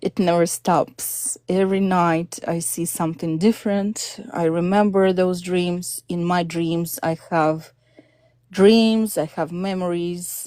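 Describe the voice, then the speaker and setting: Speaking very slowly with a Russian accent, a woman uses a fairly low pitch, a dark, mellow tone and fairly even intonation. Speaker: caller on spiritual live stream. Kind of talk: personal testimony.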